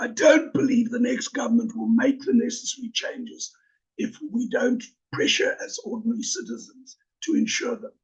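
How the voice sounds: In a put-on character voice, a man speaks at a moderate pace with an extremely high, croaky pitch.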